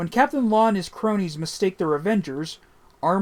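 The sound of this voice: An unforced reading voice moves through ordinary pitch variation.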